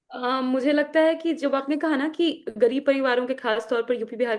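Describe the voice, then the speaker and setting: In a Magahi accent, a woman speaks at a high pitch and a moderate pace. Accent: Magahi accent in her Hindi. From Bihar, Magahi-speaking region. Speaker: party spokesperson. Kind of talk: interview. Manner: halting, with repetitions.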